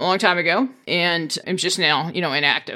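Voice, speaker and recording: A woman talks in a bright, sharp tone. The recording is very clean, with a silent background. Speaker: finance coach and podcast host. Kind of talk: solo podcast monologue. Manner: direct, no-nonsense.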